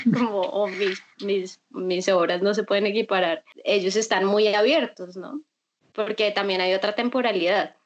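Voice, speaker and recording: A woman speaks in a Bogotá accent at a medium pitch. Her pace is fairly slow, with ordinary pitch variation. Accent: sounds like a Bogotá speaker. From Colombia, Bucaramanga (Santander). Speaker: visual artist, painter. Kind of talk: interview conversation.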